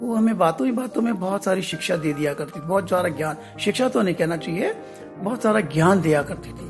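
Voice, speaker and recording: Over background music, a man with a high pitch and a warm tone talks at a moderate pace, his pitch swinging very widely. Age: old. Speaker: storyteller. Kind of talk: podcast storytelling to children. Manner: warm, conversational.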